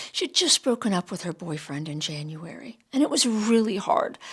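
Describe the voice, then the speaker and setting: A woman with a plain, everyday voice, lively intonation and a fairly quick pace. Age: 60s. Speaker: astrology and self-discovery vlogger. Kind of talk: personal storytelling monologue.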